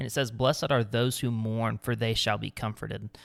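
At a moderate pace, a man talks in a plain, everyday voice at medium pitch, in a very clean recording with a silent background. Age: 20s. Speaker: podcast co-host. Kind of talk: casual chat with devotional segment.

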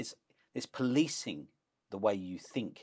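With a London accent, a man speaks at a moderate pace. His pitch varies in an ordinary way on a very clean recording with a silent background. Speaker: professor and author. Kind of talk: interview. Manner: animated.

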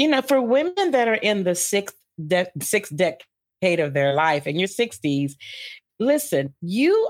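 A woman speaks at a medium pitch and a fairly slow pace, her pitch swinging very widely. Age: 50s. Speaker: life coach. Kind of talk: interview. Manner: animated.

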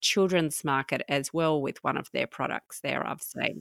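In a very clean recording with a silent background and a dry, close sound without echo, a woman with an Australian accent talks at a fairly low pitch and moderate pace with ordinary pitch variation. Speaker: podcast host. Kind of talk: interview.

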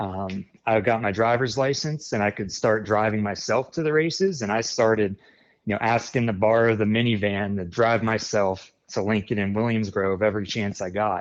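Here is a man with an American accent and a fairly low pitch, an ordinary speaking voice. He keeps a moderate pace with ordinary pitch variation. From central Pennsylvania, near Harrisburg. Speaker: sprint car tire specialist, former teacher. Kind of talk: interview.

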